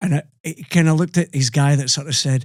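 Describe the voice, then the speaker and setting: A somewhat breathy man in a Scottish accent speaks at a moderate pace with ordinary pitch variation. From Scotland. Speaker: podcast host and rock singer. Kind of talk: casual interview chat, storytelling.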